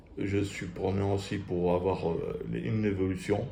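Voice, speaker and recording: Speaking at a very slow pace, a man is heard against audible room echo. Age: 50s. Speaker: photographer and gym enthusiast. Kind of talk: casual vlog. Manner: soft-spoken; halting.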